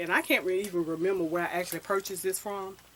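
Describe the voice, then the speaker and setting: A woman talks very fast at a fairly low pitch. Her intonation is fairly even, and there is noticeable background noise. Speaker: fashion and hair vlogger. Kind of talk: casual vlog talk.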